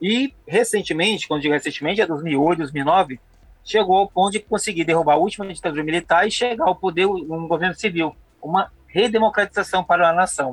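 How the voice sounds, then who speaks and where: A man talks at a fairly quick pace in a high voice, with ordinary pitch variation and very even loudness. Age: 40s. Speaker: history teacher. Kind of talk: casual chat.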